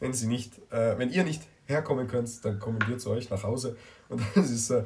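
Against noticeable background noise, a man with a medium pitch talks with lively intonation. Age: young. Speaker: podcast host, youth group member. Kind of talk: casual chat. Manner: hesitant, many fillers.

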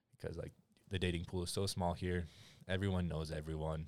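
On a very clean recording with a silent background, a man with an American accent talks at a fairly quick pace in a very deep, low, monotone and flat voice. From Utah, US (Utah County). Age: 20s. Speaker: college student. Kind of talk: casual chat. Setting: studio.

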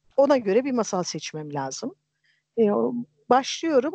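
Against a quiet background, a woman speaks in a dark, mellow tone with a dry, close sound and no echo. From Turkey, Erzincan. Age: 50s. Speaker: storyteller and translator, retired geologist. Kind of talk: casual chat. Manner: hesitant with many fillers.

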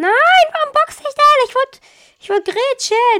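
Fairly slow, animated speech from a woman, bright and sharp in tone, with very wide pitch swings and a dry, close sound with no echo. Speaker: gaming video creator. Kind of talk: gameplay commentary.

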